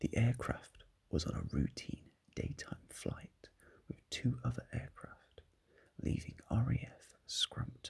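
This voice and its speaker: A whispered voice. It moves at a fairly slow pace. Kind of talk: ASMR soft-spoken history narration. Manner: soft-spoken.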